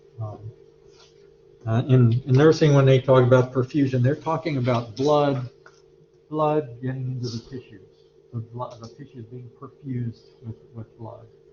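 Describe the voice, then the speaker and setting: A man's somewhat breathy voice at medium pitch, with fairly even intonation, big swings in loudness and long, frequent pauses. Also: moderate pace. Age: 60s. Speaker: anatomy and physiology instructor. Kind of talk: lecture. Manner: halting, many fillers.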